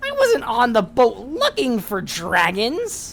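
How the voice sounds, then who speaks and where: A woman uses a put-on character voice at a fairly high pitch for a woman. She goes at a fairly slow pace over light background noise. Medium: actual play. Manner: hesitant, stammering.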